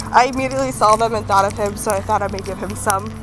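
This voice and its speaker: A woman with an American accent speaks with lively intonation. Music plays in the background. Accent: American accent when speaking French. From United States. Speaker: student vlogger. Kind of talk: casual vlog. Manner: casual, filler-heavy.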